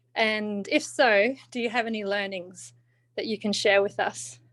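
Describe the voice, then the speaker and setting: The speech comes at a fairly slow pace with an Australian accent. The recording is very clean with a silent background. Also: woman. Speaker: audience member asking a question. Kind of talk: question at seminar.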